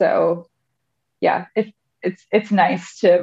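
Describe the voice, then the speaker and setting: A plain, everyday voice speaks with a Canadian accent and fairly even intonation. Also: woman. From Canada, Thunder Bay, Ontario. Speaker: core and pelvic floor fitness specialist. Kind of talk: casual interview.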